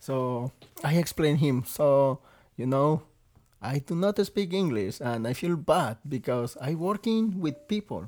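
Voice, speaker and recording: Here is a man with a Mexican accent. His pitch is fairly high. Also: lively intonation, fairly slow pace. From Mexico (Veracruz). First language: Spanish. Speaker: restaurant server and guest sharing his life story. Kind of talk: casual interview, telling personal story.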